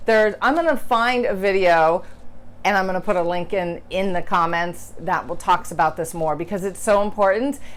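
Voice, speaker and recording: Lively intonation in a woman's voice of medium pitch. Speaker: writing teacher. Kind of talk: tutorial. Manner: fast; casual, filler-heavy.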